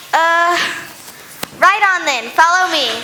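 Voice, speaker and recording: An extremely high-pitched, put-on character voice comes through over clear background noise. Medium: stage play.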